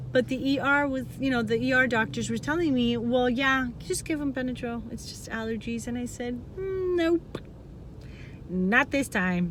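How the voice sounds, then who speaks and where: Loud and animated in tone, a woman with a high pitch and lively intonation speaks at a moderate pace. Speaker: vlogger, parent of child with type 1 diabetes. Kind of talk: personal testimony vlog.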